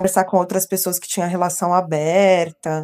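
The woman's voice has a dark, mellow tone. The recording is very clean, with a silent background. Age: 30s. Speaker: nutrition technician. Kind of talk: casual chat.

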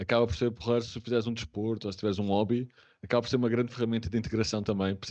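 The man rushes along at a very fast pace with fairly even intonation. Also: medium pitch for a man. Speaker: remote work specialist. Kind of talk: casual interview.

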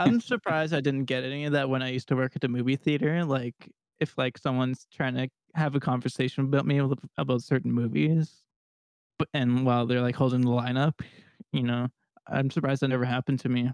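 A man with a Canadian accent at medium pitch and a very fast pace, fairly even intonation and a dry, close sound with no echo. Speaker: podcast host. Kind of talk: casual chat.

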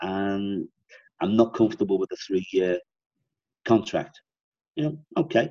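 In a dry, close sound with no echo, a man with a Liverpool accent speaks fairly slowly at a fairly low pitch, with lively intonation and long, frequent pauses. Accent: Liverpool Scouse. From Liverpool, England. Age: 60s. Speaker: sales consultant and author. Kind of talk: interview, conversational explanation.

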